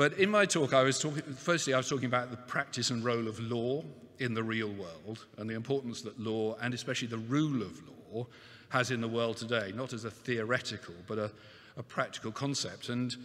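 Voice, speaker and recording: A man talks at a fairly quick pace. His pitch varies in an ordinary way. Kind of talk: opening speech. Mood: warm, lightly humorous. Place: hall. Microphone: podium.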